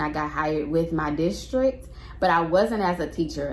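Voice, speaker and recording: A woman with an American accent speaks at a fairly slow pace in a fairly low pitch, with ordinary pitch variation over noticeable background noise. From Houston, Texas. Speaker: middle school teacher. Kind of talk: casual talk to camera.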